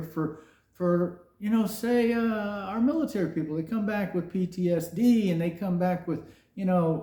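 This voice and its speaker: A man with a high voice and a dark, mellow tone. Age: 60s. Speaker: podcast host, software engineer. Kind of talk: opinion rant monologue. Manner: animated.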